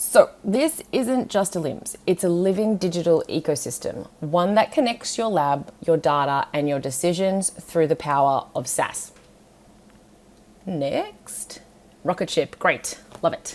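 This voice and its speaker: A woman's fairly low voice with an Australian accent, an animated tone and lively intonation, at a fairly slow pace. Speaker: scientist presenting a software webinar. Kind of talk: webinar presentation. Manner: casual.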